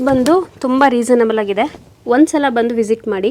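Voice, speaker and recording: The voice belongs to a woman with a high pitch. Her pitch variation is ordinary. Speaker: clothing shop owner. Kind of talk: product showcase in a shop. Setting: clothing shop. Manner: clear pronunciation.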